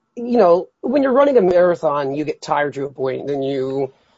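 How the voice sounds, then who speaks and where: He has an ordinary speaking voice, a fairly high pitch for a man, and ordinary pitch variation. The man keeps a moderate pace. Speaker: first-time podcast guest. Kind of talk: casual chat.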